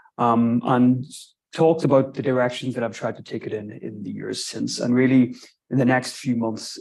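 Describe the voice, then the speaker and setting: A man with a Northern Irish accent, medium pitch and a moderate pace. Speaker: archaeology lecturer. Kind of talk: lecture. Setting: lecture room with live stream. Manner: halting.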